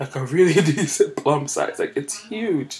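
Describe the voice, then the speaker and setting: A woman speaks over noticeable background noise. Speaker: podcast host. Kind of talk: casual monologue. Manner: animated.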